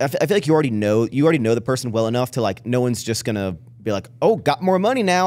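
Lively intonation marks a man speaking at a very fast pace with an American accent. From Texas. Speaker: podcast host. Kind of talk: casual chat; interview question, casual chat. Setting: studio. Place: studio. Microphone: studio mic.

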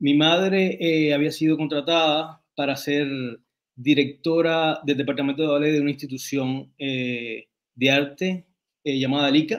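A man talks at a fairly slow pace with a fairly high pitch and fairly even intonation, in a normal speaking voice. The background is quiet. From Cuba and Dominican Republic; Cuba. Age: 40s. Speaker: writer and designer; interview guest. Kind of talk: interview. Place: home room. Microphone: video call.

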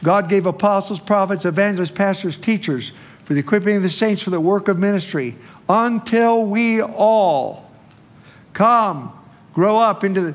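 Moving at a moderate pace, a man speaks with lively intonation. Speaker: preacher. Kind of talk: sermon. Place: church.

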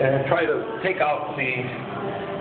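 A man's voice carries audible room echo. Clear music plays in the background. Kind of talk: casual vlog tour. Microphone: phone near.

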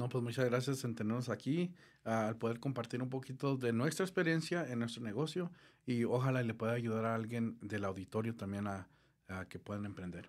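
A man's fairly quick speech, with ordinary pitch variation, comes over a quiet background. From southern Colorado, US, Mexican immigrant family. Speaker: gutter installation business owner; guest. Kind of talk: interview. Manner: halting, many fillers. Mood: calm, friendly. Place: studio. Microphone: studio mic.

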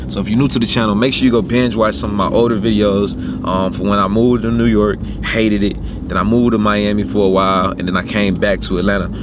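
Noticeable background noise surrounds a man talking at a very fast pace with ordinary pitch variation, in a dry sound with no echo. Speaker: car vlogger. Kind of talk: casual vlog chat. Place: car. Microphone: phone near.

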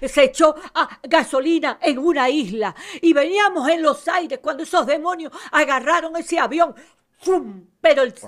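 High-pitched speech from a woman against a quiet background. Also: ordinary pitch variation, moderate pace. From Venezuela. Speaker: missionary minister. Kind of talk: testimony. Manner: animated. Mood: fervent, religious. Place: studio. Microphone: studio mic.

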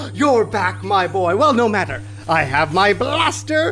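A man talks at a moderate pace. Clear background noise can be heard. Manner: gloating.

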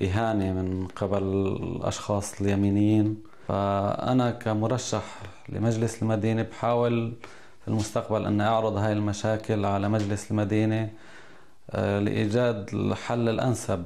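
A man with a fairly low voice talks at a fairly slow pace in a flat monotone with very even loudness. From Syria, Idlib province (Jabal al-Zawiya); Idlib, Syria. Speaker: local election candidate; election candidate. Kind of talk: interview statement. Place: office. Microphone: lapel.

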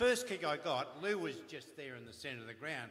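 A man speaks with an Australian accent at a fairly quick pace. Light background noise can be heard. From Melbourne, Australia. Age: 70s. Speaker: retired footballer. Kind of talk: anecdotal storytelling. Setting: stage with audience. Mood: humorous storytelling. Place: stage.

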